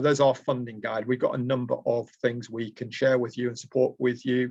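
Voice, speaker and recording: A man with a Lancashire accent talks at a medium pitch. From Lancashire, Preston. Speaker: trainer. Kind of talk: online presentation. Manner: hesitant, many fillers.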